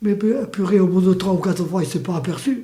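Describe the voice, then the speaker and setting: A man with a high-pitched voice. He talks at a moderate pace with ordinary pitch variation. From Spain. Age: 80s+. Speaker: war refugee, witness. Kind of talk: interview answer, personal testimony.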